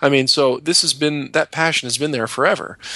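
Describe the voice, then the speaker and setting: A man speaks with a bright, sharp tone. Ordinary variation runs through his pitch. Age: 30s. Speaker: airline pilot, co-host, former nurse. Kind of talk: casual conversation. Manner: halting, many restarts.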